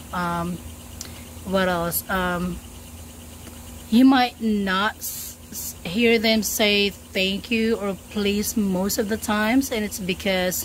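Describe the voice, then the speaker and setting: Speaking very slowly in a Filipino accent, a woman uses a medium pitch and fairly even intonation, with big swings in loudness. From Philippines. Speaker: travel vlogger. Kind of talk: casual vlog talk. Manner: halting, many fillers.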